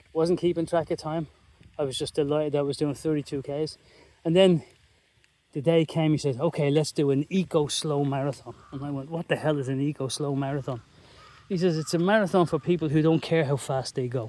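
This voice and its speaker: With an Irish accent, a man talks at a fairly quick pace in a dark, mellow tone, his fairly high pitch carrying ordinary variation. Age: 50s. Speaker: vlogger. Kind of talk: casual chat. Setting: outdoors. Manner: animated.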